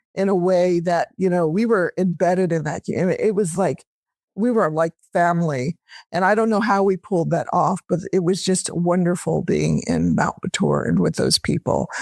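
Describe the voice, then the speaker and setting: The speaker has a Californian accent. The pace is moderate. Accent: American, California. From US, Los Angeles. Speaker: academic researcher. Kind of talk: podcast interview. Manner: conversational.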